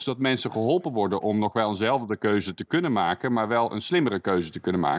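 A man with a fairly low pitch talks very fast.

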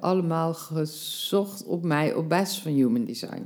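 Lively intonation runs through this woman's dark, mellow voice, which sits at a fairly low pitch. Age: 50s. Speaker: life coach. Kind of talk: casual interview.

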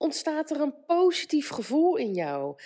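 A dark, mellow voice proceeds at a fairly slow pace in a very clean recording with a silent background. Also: woman. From Netherlands. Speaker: life coach and podcaster. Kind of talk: solo motivational podcast monologue. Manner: casual with frequent fillers.

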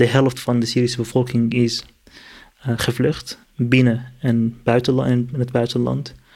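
Monotone and flat, a man speaks at medium pitch and a fairly slow pace with very even loudness. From Syria, Kurdish from Aleppo. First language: Kurdish or Arabic (speaking Dutch). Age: 30s. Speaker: political activist and refugee. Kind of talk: interview. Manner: halting, many fillers and repetitions.

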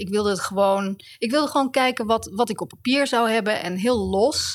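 Using a normal speaking voice, the speaker goes at a fairly quick pace and varies pitch in an ordinary way. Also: woman. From Netherlands, The Hague. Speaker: author and writing teacher. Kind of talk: interview. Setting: university building.

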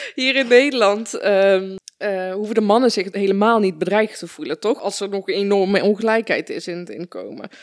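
A woman with an ordinary speaking voice talks at a medium pitch with ordinary pitch variation. She leaves hardly any pauses, and her loudness swings widely. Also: moderate pace. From Netherlands (born in Afghanistan). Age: 30s. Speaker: podcast host. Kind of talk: interview conversation.

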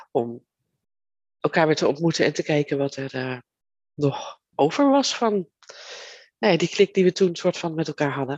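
In a dry, close recording with no echo, a woman speaks fairly slowly with ordinary pitch variation. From Netherlands, Leiden. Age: 50s. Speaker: podcast host, virtual assistant business owner. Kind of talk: solo podcast monologue, personal story. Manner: halting, many fillers.

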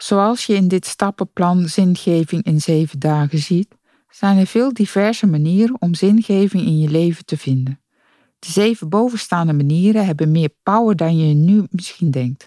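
A woman speaks at a fairly low pitch with a dark, mellow tone. The sound is dry and close, with no echo. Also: ordinary pitch variation, moderate pace. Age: 50s. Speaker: podcast host. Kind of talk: scripted narration. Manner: energetic.

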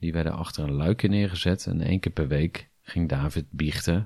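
With a slightly husky edge and a slightly mellow tone, a man speaks at a low pitch and a moderate pace, with ordinary pitch variation.

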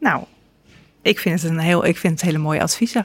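Talking at a fairly quick pace, a woman uses a normal speaking voice with ordinary pitch variation, in a dry, close sound with no echo. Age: 50s. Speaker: podcast host and journalist. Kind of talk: interview conversation. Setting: cafe recording.

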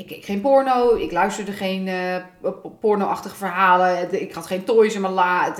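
Audible room echo surrounds a woman's voice. She speaks at a medium pitch and moderate pace, with ordinary pitch variation. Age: 30s. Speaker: podcast co-host. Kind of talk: casual chat.

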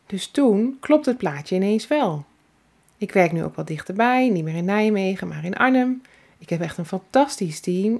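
This is an unremarkable speaking voice. It moves at a fairly slow pace with lively intonation. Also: woman. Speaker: salon owner and entrepreneur. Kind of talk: personal storytelling monologue. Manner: warm, relaxed.

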